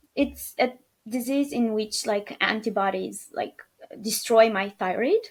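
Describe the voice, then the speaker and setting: A woman speaks at a fairly slow pace with a Romanian accent, her fairly high pitch held to fairly even intonation. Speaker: podcast guest, new mother. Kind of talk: interview, personal birth story. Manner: hesitant, many fillers.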